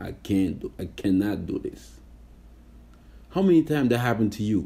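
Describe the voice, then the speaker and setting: A man speaks with lively intonation at a moderate pace. His voice is somewhat breathy, with a dark, mellow tone. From Senegal. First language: French. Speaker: podcast host. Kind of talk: motivational talk. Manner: casual, many fillers.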